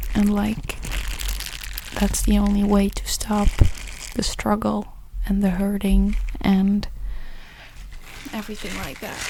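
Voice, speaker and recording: A soft-spoken woman with a gentle tone, a fairly slow pace, long, frequent pauses and big swings in loudness, against noticeable background noise. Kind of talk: ASMR whispered ramble to camera, comforting talk. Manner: soft, gentle, rambling, comforting.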